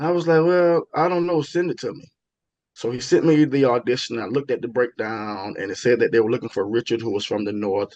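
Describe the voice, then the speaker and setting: A man with a strong Southern US accent speaks at a fairly quick pace and medium pitch. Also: lively intonation. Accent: heavy Southern US. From US South, Florida (Tallahassee). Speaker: stage and TV actor. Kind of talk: interview, telling career stories. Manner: repetitive, self-correcting, many fillers.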